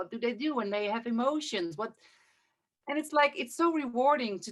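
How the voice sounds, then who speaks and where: The speaker is a woman with a Dutch accent. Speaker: interview host, breathwork teacher. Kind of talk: interview. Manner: halting.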